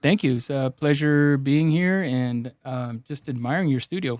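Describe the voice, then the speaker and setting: A man with a Spanish accent, fairly high pitch, ordinary pitch variation, and a fairly slow pace, in a dry, close sound with no echo. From Los Angeles, Mexican immigrant family. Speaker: personal injury attorney. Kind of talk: casual interview. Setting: studio.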